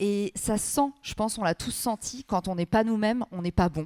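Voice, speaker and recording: A woman talks at a medium pitch with ordinary pitch variation. The sound is dry and close with no echo, a very clean recording with a silent background. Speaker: personal branding expert and author. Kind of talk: conference interview. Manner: fast.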